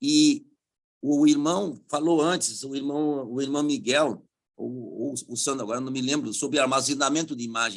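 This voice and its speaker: Male speech in an unremarkable speaking voice, fairly high, with ordinary pitch variation and a moderate tempo. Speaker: public prosecutor, conference panelist. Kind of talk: conference talk with slides.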